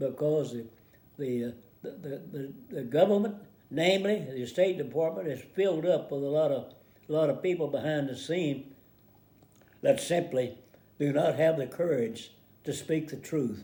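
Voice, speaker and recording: Somewhat breathy and dark, mellow in tone, a man speaks at a moderate pace with long, frequent pauses amid audible room echo. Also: ordinary pitch variation. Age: 80s+. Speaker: war veteran. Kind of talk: casual commentary. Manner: halting, many repeated words.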